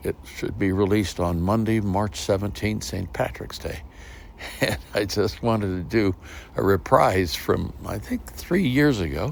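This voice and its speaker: The speech is fairly slow, with lively intonation. Noticeable background noise is present. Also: man, fairly low pitch for a man. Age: 80s+. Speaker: storyteller, podcast host. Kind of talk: podcast introduction. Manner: warm storytelling.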